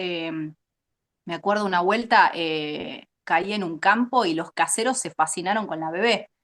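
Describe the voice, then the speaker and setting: A woman speaks with an Argentine accent and lively intonation. The background is quiet. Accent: Rioplatense Argentine Spanish. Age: 40s. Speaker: animal scientist. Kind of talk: interview. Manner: animated.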